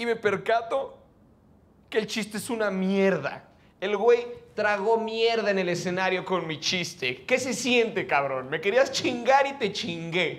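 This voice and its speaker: The delivery comes at a fairly slow pace. Its intonation is lively. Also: man. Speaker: stand-up comedian. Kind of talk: stand-up comedy monologue. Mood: anxious, self-mocking storytelling. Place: stage. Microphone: handheld.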